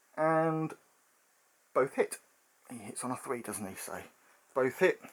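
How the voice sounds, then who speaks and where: A man with an ordinary speaking voice and fairly high pitch talks at a fairly slow pace, his intonation lively. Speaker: tabletop miniatures hobby youtuber. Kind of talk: game playthrough commentary. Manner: casual, frequent fillers (um, uh).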